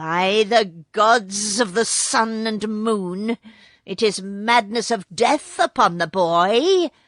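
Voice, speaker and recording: Using a put-on character voice at medium pitch, a woman speaks at a very slow pace with hissing, in a dry, close sound with no echo against a quiet background. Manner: menacing, scornful.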